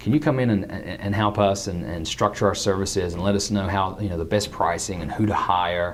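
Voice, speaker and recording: Barely pausing, a man speaks with ordinary pitch variation amid noticeable background noise and audible room echo. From England. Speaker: internet marketing consultant. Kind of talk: interview. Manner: halting, many fillers.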